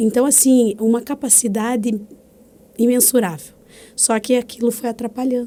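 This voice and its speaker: A woman speaks at a moderate pace in a fairly high pitch, her tone dark and mellow. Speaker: podcast host. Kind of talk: casual podcast conversation.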